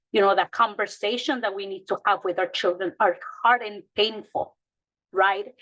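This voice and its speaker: A woman with a Mexican accent speaks at a medium pitch, her bright, sharp tone carried on fairly even intonation. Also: moderate pace. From Mexico. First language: Spanish. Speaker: childcare provider. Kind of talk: panel discussion. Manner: halting.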